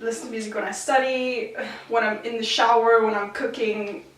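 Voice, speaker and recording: A woman with an American accent speaks at a fairly high pitch. Audible room echo and noticeable background noise come through. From South Africa, Gauteng (Pretoria). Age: 20s. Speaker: university student. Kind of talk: casual home tour talk. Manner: casual, filler-heavy.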